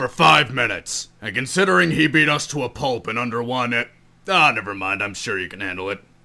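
A man performs a put-on character voice at a medium pitch. He delivers it at a fairly quick pace. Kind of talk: comic parody voice acting.

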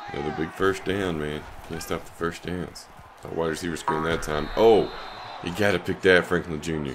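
At a moderate pace, a man speaks with a low pitch and fairly even intonation against faint background noise.

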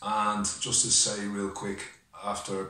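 A man's fairly low voice with audible room echo. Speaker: personal vlogger. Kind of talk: casual vlog chat. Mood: heartfelt, grateful, emotional. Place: home room. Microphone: webcam.

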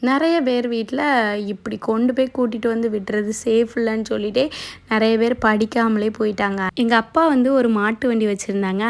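A woman with an ordinary speaking voice talks at a fairly high pitch with fairly even intonation. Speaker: lifestyle YouTuber. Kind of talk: personal vlog monologue.

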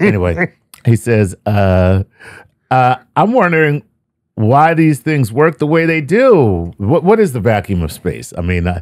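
A man speaks at a very slow pace with long, frequent pauses and very wide pitch swings. The background is quiet, and the sound is dry with no echo. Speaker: podcast co-host reading listener questions. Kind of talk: casual podcast banter, reading a listener question. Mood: joking, playful. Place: studio. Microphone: studio mic.

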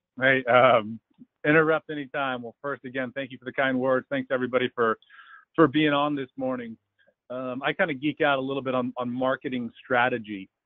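A man at a fairly quick pace with fairly even intonation, dry sound with no echo, quiet background. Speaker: webinar presenter. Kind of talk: lecture. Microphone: phone line.

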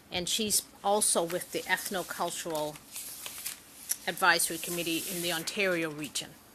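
A woman speaks at a moderate pace in a monotone, flat intonation, with noticeable background noise. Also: fairly low pitch for a woman. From Nova Scotia, Canada. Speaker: senator, committee chair. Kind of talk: formal hearing chairing. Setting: committee hearing room. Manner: formal.

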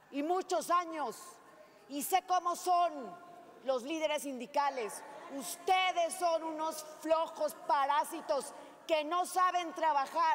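Over light background noise, a woman talks at a very slow pace in an extremely high pitch with ordinary pitch variation. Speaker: senator in debate. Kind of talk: heated parliamentary speech. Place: hall. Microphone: podium.

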